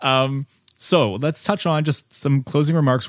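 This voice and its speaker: A man talks at a moderate pace. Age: 30s. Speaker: podcast host, former scientist. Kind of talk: casual interview conversation.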